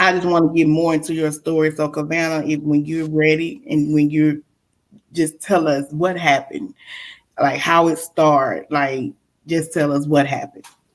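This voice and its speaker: Very deep and low in pitch, a woman with a Mississippi accent speaks at a moderate pace in a monotone, flat intonation, in a very clean recording with a silent background. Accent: Mississippi Southern. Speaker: podcast host. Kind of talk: interview.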